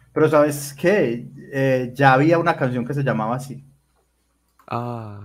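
A man with a fairly high voice keeps his intonation fairly even. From Colombia, Medellín. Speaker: podcast host. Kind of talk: casual chat. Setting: livestream.

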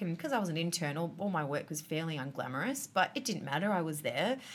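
The speaker has an Australian accent. The intonation is lively. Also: woman. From Australia, Adelaide. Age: 30s. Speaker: artist and designer. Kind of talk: casual chat. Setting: restaurant.

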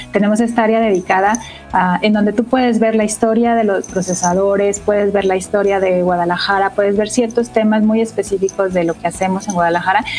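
Over noticeable background noise, a woman talks fairly quickly at medium pitch, her intonation flat and monotone and her loudness very even. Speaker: engineering director. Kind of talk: interview.

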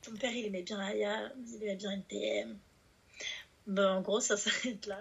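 A woman's monotone, flat delivery at a very slow pace, with long, frequent pauses. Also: medium pitch for a woman. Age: 20s. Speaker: rap writer and youth worker. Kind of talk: casual chat.

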